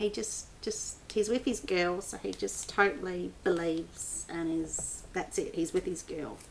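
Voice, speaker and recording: An Australian-accented woman talks at a fairly slow pace in an animated tone with hardly any pauses. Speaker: book blogger. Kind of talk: casual vlog book review. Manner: animated, with many fillers.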